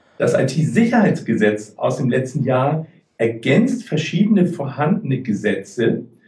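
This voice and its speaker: This man speaks at a fairly slow pace in a fairly high, somewhat breathy voice with a dark, mellow tone and very wide pitch swings. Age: 50s. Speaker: IT security and data protection consultant. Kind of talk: interview.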